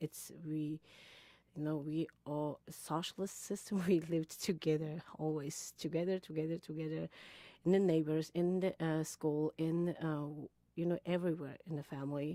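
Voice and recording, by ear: A woman speaks at a moderate pace in a low pitch, her tone dark and mellow and her intonation fairly even. The sound is dry and close, with no echo.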